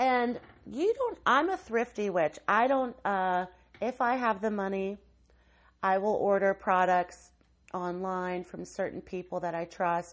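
Using a plain, everyday voice, a woman with an American accent speaks at a fairly slow pace. Her pitch is medium, with ordinary variation. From West Virginia. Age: 40s. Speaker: podcast host, tarot reader. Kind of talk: solo podcast monologue.

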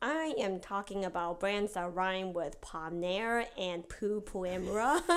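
At a fairly slow pace, a woman talks in an unremarkable speaking voice of medium pitch with ordinary pitch variation. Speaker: podcast co-host. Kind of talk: casual chat.

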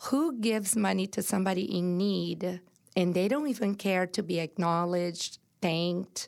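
A woman with a Brazilian accent speaks at a moderate pace and medium pitch, with ordinary pitch variation and very even loudness, in a very clean recording with a silent background. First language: Portuguese. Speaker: entrepreneur and inspirational speaker. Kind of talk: personal testimony in interview. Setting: studio.

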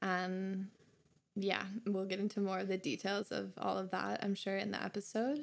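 A woman with an American accent has a plain, everyday voice at a medium pitch, speaking at a moderate pace. Her intonation is fairly even and her loudness very even. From Minnesota, US. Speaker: spiritual seeker, podcast guest. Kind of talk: casual chat. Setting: home studio in bedroom.

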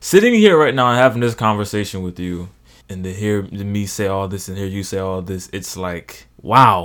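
A moderate pace and fairly even intonation, with an American accent. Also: man, fairly low pitch for a man. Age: 20s. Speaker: college student. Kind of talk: casual chat.

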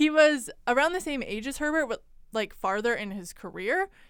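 A woman's normal speaking voice at a fairly quick pace, very cleanly recorded against a silent background. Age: 20s. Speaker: podcast co-host. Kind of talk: casual chat.

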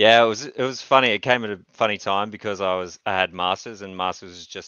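The intonation stays fairly even. The pace is very fast. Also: man. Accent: Australian. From Australia, Newcastle. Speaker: tournament wargamer. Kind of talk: casual chat.

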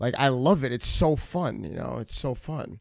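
A man speaks at medium pitch with a New York accent. His tone is dark and mellow. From New York, Westchester. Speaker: recording artist. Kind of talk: casual chat.

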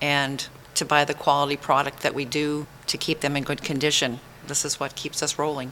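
A woman with a very deep, low pitch talks at a middling speed, with noticeable noise behind her. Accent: American. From Maine, US. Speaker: goat farmer. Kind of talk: interview. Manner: halting.

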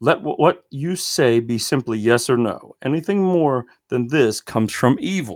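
A plain, everyday voice with lively intonation, at a moderate pace and with hardly any pauses. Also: man, medium pitch for a man. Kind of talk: Bible teaching podcast. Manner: informal, conversational, with filler words.

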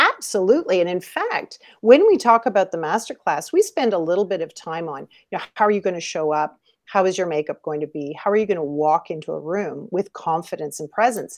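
With a Canadian accent, a woman speaks fairly quickly in an ordinary speaking voice at a medium pitch, with ordinary pitch variation against a quiet background. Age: 50s. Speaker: model and coach. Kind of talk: interview.

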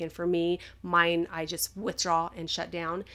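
At a moderate pace, a woman talks in an unremarkable speaking voice. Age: 40s. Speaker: podcast co-host, wife with PTSD and depression. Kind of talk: casual chat.

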